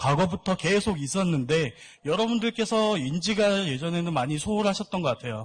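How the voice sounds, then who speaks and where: A man's high-pitched voice is heard over a quiet background. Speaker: seminar speaker on cosmetics export. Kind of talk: lecture.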